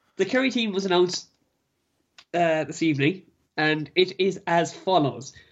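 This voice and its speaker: This is a man speaking with a Kerry accent. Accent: Kerry Irish. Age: young. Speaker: sports podcast co-host. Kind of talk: casual sports chat. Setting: remote over Skype. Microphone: Skype line, lower quality.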